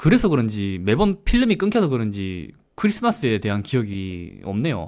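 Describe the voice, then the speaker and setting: Recorded very cleanly against a silent background, a man speaks at a moderate pace with very wide pitch swings. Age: 30s. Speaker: vlogger. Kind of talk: casual monologue.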